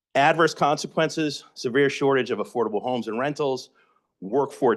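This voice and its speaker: An American man talks at a moderate pace in an ordinary speaking voice, his pitch medium for a man. His intonation is lively, and the background is quiet. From Massachusetts (Somerville, Boston area). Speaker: housing advocate presenter. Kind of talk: educational presentation.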